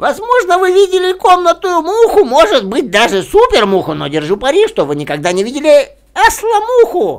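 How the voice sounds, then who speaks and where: A man's put-on character voice, extremely high-pitched and at a fairly quick pace. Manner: fast, talkative.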